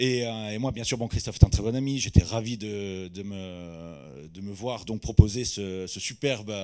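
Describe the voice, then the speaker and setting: Over a quiet background, a man talks in a dark, mellow tone with ordinary pitch variation. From Corsica. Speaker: sommelier; conference speaker. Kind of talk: testimony. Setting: stage with audience. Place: hall. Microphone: handheld.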